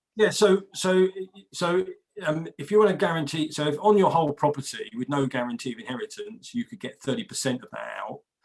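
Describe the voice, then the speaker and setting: Here a man speaks with an English accent at a high pitch. His intonation is lively, and his loudness swings widely. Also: fairly quick pace. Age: 60s. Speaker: equity release adviser. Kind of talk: interview. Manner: repetitive stammering starts.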